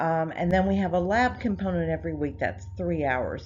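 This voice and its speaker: A woman speaks at a middling speed, and the room gives her voice some echo. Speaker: nursing professor. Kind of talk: lecture. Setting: recorded online course video.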